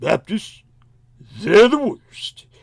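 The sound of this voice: Pitched extremely high, a man's put-on character voice comes through.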